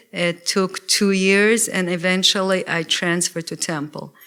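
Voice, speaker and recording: A woman's bright, sharp tone in a Russian accent, at medium pitch and a moderate pace with fairly even intonation, on a very clean recording with a silent background. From Russia (former Soviet Union). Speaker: lawyer. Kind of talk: lecture. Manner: hesitant, with fillers.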